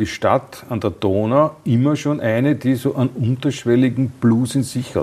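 Here a man uses a plain, everyday voice, pitched in the medium range. He keeps a moderate pace and ordinary pitch variation. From Austria. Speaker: podcast host. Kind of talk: interview.

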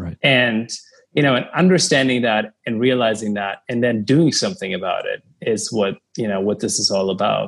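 A man with a German accent and lively intonation at a fairly quick pace, on a very clean recording with a silent background. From Germany, Cologne. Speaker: media entrepreneur. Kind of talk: interview.

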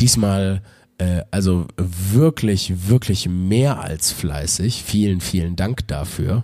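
His pitch sits fairly low. This man speaks with ordinary pitch variation. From Wuppertal, Germany. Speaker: comedian and podcast host. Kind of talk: casual podcast monologue. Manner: hesitant, many filler sounds.

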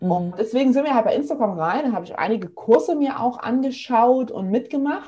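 Speaking at a fairly quick pace with hardly any pauses, a woman uses a high, dark and mellow voice that makes very wide pitch swings. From eastern Germany, near Leipzig. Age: 30s. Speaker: physiotherapist and online entrepreneur. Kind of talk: casual interview.

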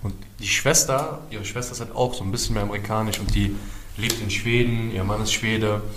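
Speech at a fairly quick pace with fairly even intonation comes through audible room echo and noticeable background noise. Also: man. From Berlin, Germany (Wedding, then East Berlin). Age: 30s. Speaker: prevention project worker. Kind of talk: casual chat.

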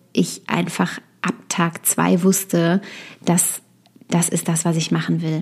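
The speaker is a woman. Her pitch sits fairly low. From Westerwald, Germany. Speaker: copywriter and podcast host. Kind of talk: solo podcast monologue. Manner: frequent filler sounds (äh, ähm).

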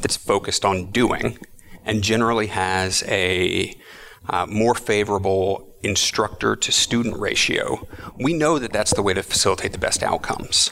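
A man with an American accent speaks at a moderate pace. His tone is bright and sharp, and his pitch varies in an ordinary way. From Texas, Austin. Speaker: futures educator and facilitator. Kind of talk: interview. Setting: conference event.

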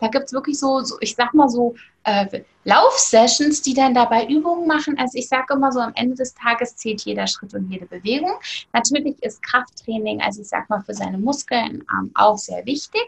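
Her voice is high, and the woman's pitch varies in an ordinary way. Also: moderate pace. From Germany, East Hesse. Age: 30s. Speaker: online shop owner and weight-loss influencer. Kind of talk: interview. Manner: hesitant with frequent fillers.

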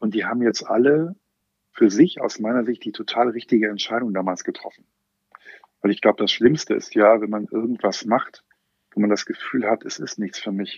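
Using a plain, everyday voice, a man of medium pitch speaks at a moderate pace with ordinary pitch variation. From Germany, Westerwald. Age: 40s. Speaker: bank brand strategy manager. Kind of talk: casual interview.

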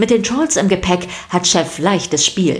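A woman at a fairly low pitch, fairly slow in pace, with lively intonation.

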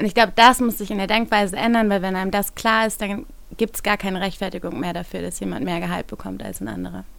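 Very fast and with big swings in loudness, a woman speaks. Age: 30s. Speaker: managing director, feminist network co-founder. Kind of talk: podcast interview discussion.

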